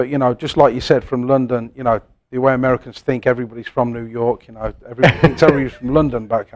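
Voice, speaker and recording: A man with an English accent talks at a very fast pace and medium pitch, his intonation fairly even but his loudness swinging widely. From England, Coventry. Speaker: pub owner and former chef. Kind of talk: casual interview.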